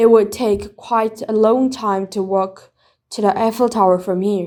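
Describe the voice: A woman's gruff, put-on character voice at medium pitch and moderate pace.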